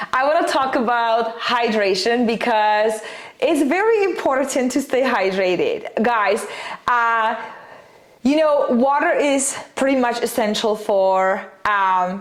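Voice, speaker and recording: Heard with audible room echo, a woman with a non-native accent talks very slowly at a fairly high pitch with ordinary pitch variation. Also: very even loudness. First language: not English. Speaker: nutrition and fat loss coach. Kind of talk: casual vlog advice talk. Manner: many fillers (um, uh, like).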